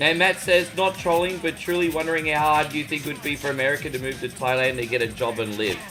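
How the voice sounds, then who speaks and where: Music plays behind a man with an Australian accent and a fairly high pitch, who talks very fast with hardly any pauses and ordinary pitch variation. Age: 40s. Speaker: gaming streamer. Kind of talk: casual chat. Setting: live stream. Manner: halting, frequent stammered repeats.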